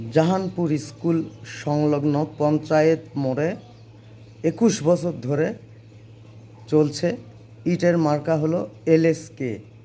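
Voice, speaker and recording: This man's voice has a dark, mellow tone. His pitch sits fairly high for a man. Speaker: vlogger. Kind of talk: personal testimony monologue. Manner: animated, confrontational.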